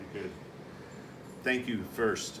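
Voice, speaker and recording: Room echo can be heard around a male speaker. He talks at a moderate pace. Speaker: conference speaker. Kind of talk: conference presentation. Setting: conference room with audience. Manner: loud.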